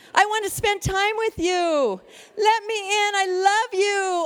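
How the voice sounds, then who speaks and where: Over noticeable background noise, a woman speaks at a fairly slow pace with an extremely high pitch and fairly even intonation. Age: 60s. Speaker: lay speaker. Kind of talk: sermon.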